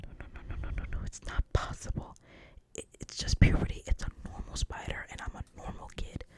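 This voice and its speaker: Whispering at a fairly quick pace, a woman swings widely in loudness over noticeable background noise. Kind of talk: ASMR script reading. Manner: whispered, soft-spoken.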